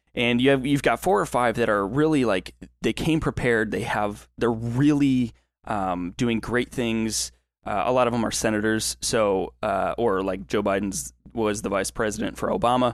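Here a man has a normal speaking voice. His pitch is medium and his pace moderate. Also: ordinary pitch variation. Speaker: podcast co-host. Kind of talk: casual chat. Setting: online voice call.

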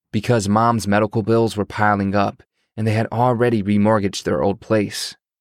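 The speaker reads in a natural reading voice over a quiet background.

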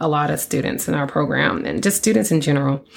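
A woman's very deep, low voice with vocal fry and an American accent. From Texas (Port Arthur, Austin). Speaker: chemical engineer and nonprofit founder. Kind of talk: podcast monologue. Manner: animated.

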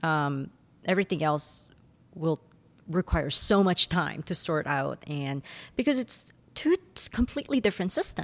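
With a Korean accent, a woman speaks at a moderate pace and fairly low pitch with lively intonation and long, frequent pauses, in a dry, close sound with no echo over a quiet background. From South Korea. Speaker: professor. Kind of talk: interview.

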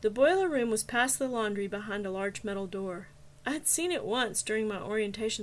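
The words are read out plainly.

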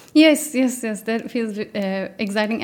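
A woman with a Turkish accent speaks at a moderate pace. Her pitch varies in an ordinary way. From Turkey. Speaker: mathematician, postdoctoral researcher. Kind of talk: interview. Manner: hesitant, many fillers.

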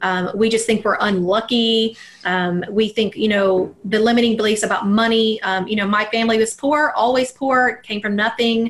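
A woman with an American accent at fairly high pitch and a moderate pace, fairly even intonation, and noticeable background noise. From US South, Alabama. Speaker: mindset coach. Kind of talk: interview.

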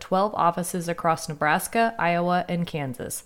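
This woman has an unremarkable speaking voice at medium pitch. Her intonation stays fairly even. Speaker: podcast host, transportation planner. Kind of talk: interview.

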